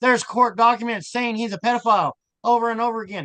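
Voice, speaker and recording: A man's raised, projected voice, animated in tone, at a moderate pace, in a dry, close sound with no echo. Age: 60s. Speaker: self-proclaimed abuse survivor. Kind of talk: casual chat.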